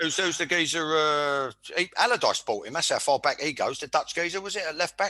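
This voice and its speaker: This man has a high pitch and a bright, sharp tone. He talks at a fairly quick pace. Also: ordinary pitch variation. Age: 60s. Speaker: former footballer, podcast host. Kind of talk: casual football chat. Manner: stumbling repetitions; animated.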